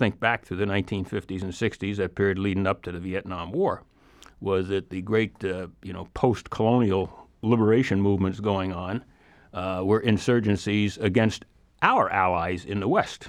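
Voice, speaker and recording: A man speaks at a moderate pace with an American accent and a fairly low pitch. He has a plain, everyday voice. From New York City area / northern New Jersey. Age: 60s. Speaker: former intelligence officer. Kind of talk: interview.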